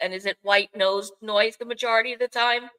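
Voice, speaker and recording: A woman's fairly high, bright, sharp voice in a Bronx accent, with a dry, close sound and no echo. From New York City, the Bronx. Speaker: podcast host. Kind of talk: casual chat. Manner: halting, many fillers.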